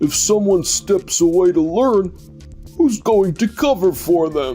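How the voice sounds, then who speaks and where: This put-on character voice sits at a middle pitch and moves at a fairly slow pace. Clear music plays in the background. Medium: fan dub. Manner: dismissive.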